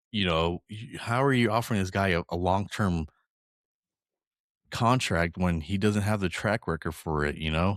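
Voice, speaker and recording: A man's very deep, low voice at a moderate pace, in a very clean recording with a silent background. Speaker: football podcast co-host. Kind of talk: casual chat. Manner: halting, self-interrupting.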